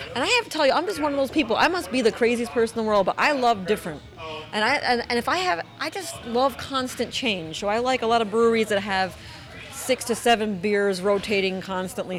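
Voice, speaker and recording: A woman races along at a very fast pace with lively intonation over noticeable background noise. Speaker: foodie group admin and guest. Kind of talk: casual round-table chat.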